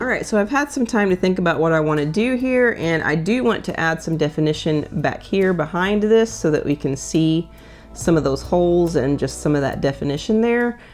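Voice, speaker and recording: With music in the background, a woman with an Oklahoma accent talks at a fairly quick pace with lively intonation and hardly any pauses. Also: fairly low pitch for a woman. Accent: Oklahoma country. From Oklahoma, US. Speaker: painter. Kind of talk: tutorial. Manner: casual, conversational.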